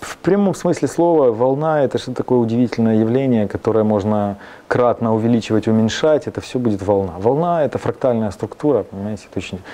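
A man talks at a fairly quick pace and medium pitch, with ordinary pitch variation. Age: young. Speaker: composer; guest. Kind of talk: interview. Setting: studio. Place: studio. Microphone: lapel.

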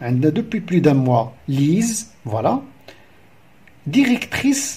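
A man talks at a very slow pace. His pitch swings very widely. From Morocco. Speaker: primary school teacher. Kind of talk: lesson explanation. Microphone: phone near.

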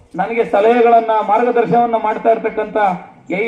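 Noticeable background noise behind a high-pitched male voice. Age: 30s. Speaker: local legislator / politician. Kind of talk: political speech at a public event.

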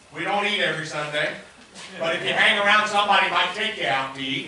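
A man speaks in a raised, projected voice. Audible room echo and light background noise surround him. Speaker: pastor. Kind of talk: sermon announcements. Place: church.

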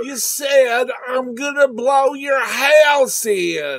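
Someone performs a put-on character voice with high pitch at a very slow pace. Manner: slow, gluttonous, easily swayed.

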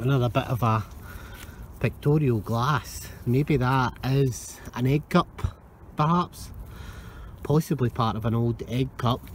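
Somewhat breathy and very slow, a man speaks with ordinary pitch variation and long, frequent pauses, in a dry sound with no echo and light background noise. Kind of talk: casual vlog commentary. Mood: pleased, curious. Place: beach. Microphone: phone near.

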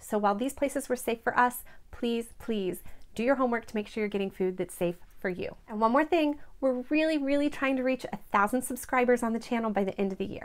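A woman speaks at a high pitch with ordinary pitch variation. Her pace is fairly quick. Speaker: travel vlogger. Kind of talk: casual vlog chat. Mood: earnest, warm, sometimes serious. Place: home room. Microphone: phone near.

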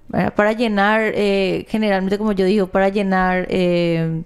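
Fairly slow, fairly even speech from a woman at a medium pitch, against a quiet background. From Paraguay. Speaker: news show co-host. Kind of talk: casual news chat. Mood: serious, concerned. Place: studio. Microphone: studio mic.

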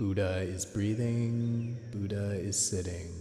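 Music plays in the background while a man with a very deep, low pitch speaks very slowly in a calm, soothing tone and monotone, flat intonation. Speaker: meditation guide. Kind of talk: guided meditation. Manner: slow, calm, soothing, repeating mantras in a gentle cadence.

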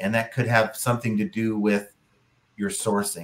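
Man with a plain, everyday voice, medium pitch and moderate pace. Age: 50s. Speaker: podcast co-host, online reseller. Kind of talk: casual chat. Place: home room.

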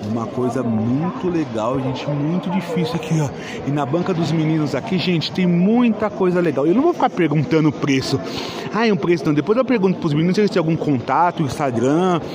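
Noticeable background noise accompanies a voice moving at a fairly quick pace. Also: man. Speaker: toy collector vlogger. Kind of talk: casual vlog chat. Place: hall. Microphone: phone near.

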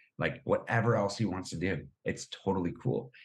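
Energetic and somewhat breathy, a man speaks. His pace is moderate. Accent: American. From Boston, US. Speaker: running community founder. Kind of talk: casual interview chat.

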